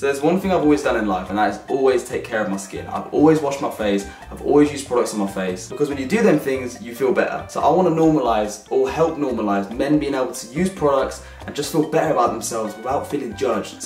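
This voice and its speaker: A man talks at a very fast pace with hardly any pauses, with audible room echo and faint music in the background. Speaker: vlogger. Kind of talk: casual vlog chat.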